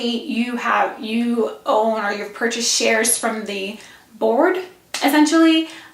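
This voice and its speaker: A woman speaks at a high pitch. There is audible room echo and noticeable background noise. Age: 30s. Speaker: vlogger. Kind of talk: casual vlog. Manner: rambling, casual.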